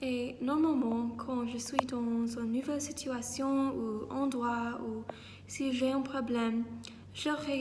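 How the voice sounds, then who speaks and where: A woman's high voice in an English accent at a very slow pace, fairly even in intonation, with audible room echo and noticeable background noise. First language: English (speaking French). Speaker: vlogger, student abroad. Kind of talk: vlog. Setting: outdoors in a park. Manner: halting, frequent hesitations.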